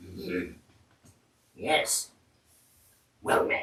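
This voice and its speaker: A raspy, put-on character voice from a man. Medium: actual play. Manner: short, simple questions.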